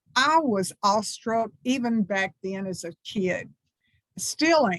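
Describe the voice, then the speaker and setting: Very slow and somewhat breathy, a woman's medium-pitched voice carries lively intonation with a dry, close sound and no echo. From US South, small textile town. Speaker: minister. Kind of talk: talk to a congregation.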